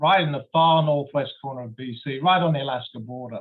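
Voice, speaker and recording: A man speaks with a London accent. His pitch is fairly high and his pace moderate. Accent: English, from London. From London, England. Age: 60s. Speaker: geology professor. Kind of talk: lecture. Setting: video call.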